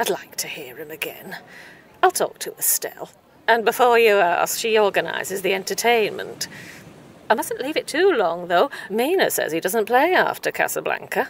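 A woman's put-on character voice, slightly husky at the edge, with vocal fry and big pitch swings. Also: medium pitch for a woman, moderate pace.

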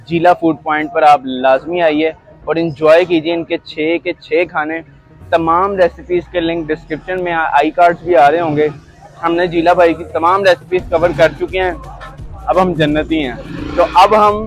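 Faint music plays in the background as a man with a high voice talks at a fairly slow pace in a flat monotone, the sound dry with no echo. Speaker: food vlogger. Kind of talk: casual vlog chat. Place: street. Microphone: lapel.

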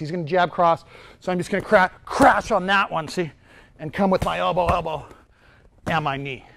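A man speaks high in his range, with pitch that varies in an ordinary way. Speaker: martial arts instructor. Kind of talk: tutorial. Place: gym.

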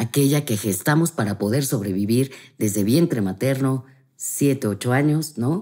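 The voice has a dark, mellow tone and very even loudness at a moderate pace. The background is quiet. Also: woman, very deep, low pitch for a woman. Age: 50s. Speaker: family constellation therapist; guest. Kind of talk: interview, explanatory conversation. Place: home room. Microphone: studio mic.

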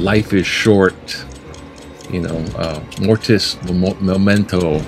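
Over clear background music, a man talks at a fairly low pitch with ordinary pitch variation. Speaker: video blogger. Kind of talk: casual vlog chat. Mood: relaxed, occasional laughs. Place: home room. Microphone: webcam.

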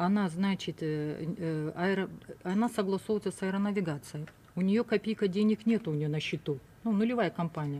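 A woman speaks in a dark, mellow tone with ordinary pitch variation. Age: 60s. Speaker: businesswoman in a bank dispute; guest. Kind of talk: studio talk show discussion. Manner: halting. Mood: aggrieved, indignant. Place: studio. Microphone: studio mic.

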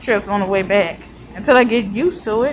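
Over light background noise, a woman talks in a fairly high voice with ordinary pitch variation. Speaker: vlogger. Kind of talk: casual vlog monologue. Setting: outdoors. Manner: rambling, casual. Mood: relaxed, mildly annoyed by heat. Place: street. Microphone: phone near.

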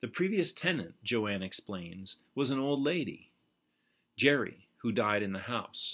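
A man's bright, sharp voice at a fairly slow pace, with very wide pitch swings and a quiet background. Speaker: poet. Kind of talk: poetry reading, narrative poem read aloud to camera. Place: home room. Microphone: webcam.

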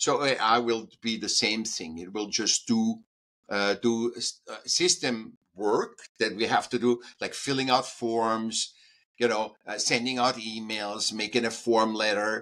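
A man's medium-pitched, bright, sharp voice with an Austrian accent, at a very slow pace with fairly even intonation, in a very clean recording with a silent background. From Austria, Vienna. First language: German. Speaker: artist and speaker. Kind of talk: interview. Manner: halting.

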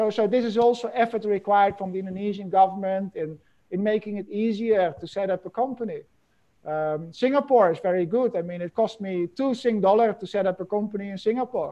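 A man's high voice at a fairly quick pace over a quiet background. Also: ordinary pitch variation. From Netherlands. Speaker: professor and supply chain consultant; professor. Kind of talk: webinar lecture. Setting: video call. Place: office. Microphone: earbuds.

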